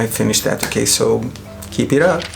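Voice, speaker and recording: Music plays in the background as a man speaks at a moderate pace with audible room echo. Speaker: makeup artist. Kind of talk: product review tutorial. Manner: animated.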